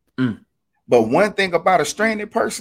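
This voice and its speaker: Lively intonation marks this man's moderate-paced speech. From Alabama, US South. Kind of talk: casual faith discussion. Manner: animated.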